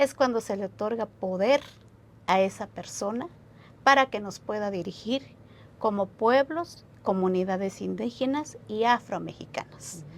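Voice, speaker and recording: A woman with an unremarkable speaking voice talks at a fairly slow pace, her medium pitch carried by lively intonation. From San Juan Chamula, Chiapas, Mexico. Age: 30s. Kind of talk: interview answer.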